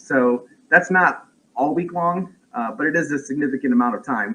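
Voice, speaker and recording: Loud and lively in intonation, a man speaks at a moderate pace with a bright, sharp tone. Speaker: parent of a medically complex child, vlogger. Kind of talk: livestream chat. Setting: home livestream. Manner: halting.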